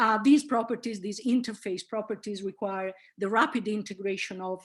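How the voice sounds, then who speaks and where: A woman speaks at a medium pitch and moderate pace, with ordinary pitch variation. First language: Italian. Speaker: linguistics professor. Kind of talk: lecture. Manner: hesitant, many fillers.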